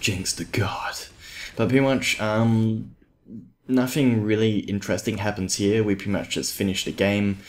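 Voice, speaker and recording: A quiet man speaks at a fairly slow pace. His pitch is fairly low, with ordinary variation. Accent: Australian. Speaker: gaming YouTuber. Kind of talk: gameplay commentary. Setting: at home. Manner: quiet, subdued.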